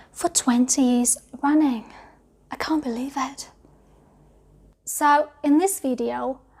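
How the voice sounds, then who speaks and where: Speaking very slowly with long, frequent pauses, a woman with a British accent uses a high pitch and fairly even intonation. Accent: British English accent, learned. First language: not English. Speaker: English teacher. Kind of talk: video tutorial.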